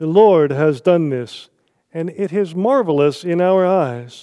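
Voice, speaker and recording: Over a quiet background, a man with an American accent speaks at a very slow pace, his pitch high and his tone dark and mellow. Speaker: pastor. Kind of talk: sermon. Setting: church.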